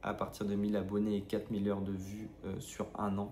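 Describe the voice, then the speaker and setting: A man speaks at a fairly slow pace in a fairly low pitch with a dark, mellow tone. Audible room echo surrounds his voice. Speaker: running vlogger. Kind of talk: vlog. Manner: hesitant, many filler sounds.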